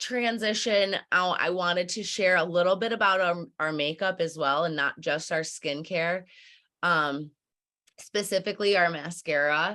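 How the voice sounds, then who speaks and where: The delivery comes at a fairly slow pace. Its tone is bright and sharp. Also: woman. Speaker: beauty product consultant hosting online sales party. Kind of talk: sales pitch.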